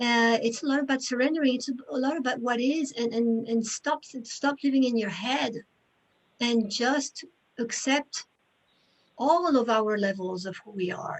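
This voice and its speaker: The pace is moderate. Pitch variation is ordinary. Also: woman, high pitch for a woman. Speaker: presenter at a theosophy lodge talk series. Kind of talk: Q&A discussion. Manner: halting.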